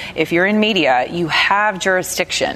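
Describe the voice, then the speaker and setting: Through noticeable background noise, a woman speaks with an American accent. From US South. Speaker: radio host. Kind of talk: panel discussion. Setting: studio with audience.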